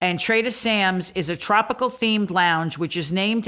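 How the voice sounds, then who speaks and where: A woman with a Brooklyn accent talks at a moderate pace and medium pitch, her tone bright and sharp and her pitch variation ordinary, on a very clean recording over a silent background. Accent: Brooklyn New York. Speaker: podcast co-host. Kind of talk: podcast resort overview.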